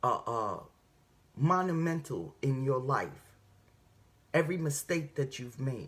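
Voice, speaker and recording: A somewhat breathy woman with very deep, low pitch, ordinary pitch variation, an animated tone and a moderate pace. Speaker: faith vlogger. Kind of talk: inspirational talk.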